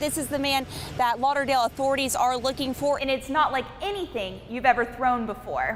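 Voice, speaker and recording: A woman's high voice at a fairly quick pace, with ordinary pitch variation and noticeable background noise. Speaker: television news reporter. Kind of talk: news reporter stand-up montage, on-camera delivery.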